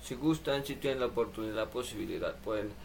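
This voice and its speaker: Speaking at a very fast pace, a man talks with a Mexican accent. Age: 20s. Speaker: livestreamer and sign language student. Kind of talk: casual livestream chat. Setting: live stream at home computer.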